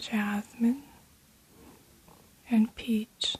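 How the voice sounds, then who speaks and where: A soft-spoken woman with a fairly high pitch. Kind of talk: ASMR perfume review.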